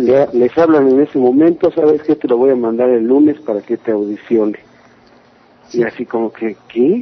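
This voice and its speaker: A normal speaking voice from a man, medium in pitch with ordinary pitch variation, at a moderate pace. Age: 30s. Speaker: metal singer. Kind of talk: interview.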